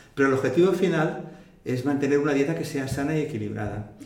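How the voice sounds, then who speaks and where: Very fast and fairly high in pitch, a man talks with ordinary pitch variation amid noticeable background noise and audible room echo. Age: 60s. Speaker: retired naturopathic physician. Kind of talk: interview.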